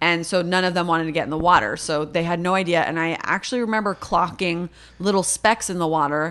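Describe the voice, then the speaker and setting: Speaking in an animated tone with a Californian accent, a woman talks at a very fast pace and fairly low pitch. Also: ordinary pitch variation. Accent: Californian American English. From Los Angeles, San Fernando Valley. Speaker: comedic actor and improviser. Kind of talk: casual chat.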